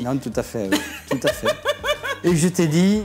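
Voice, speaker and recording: A man with a southwestern French accent speaks at a moderate pace against noticeable background noise. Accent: singsong southwestern French. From Gers, southwest France. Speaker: agricultural machinery expert and event entertainer. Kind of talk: interview answer.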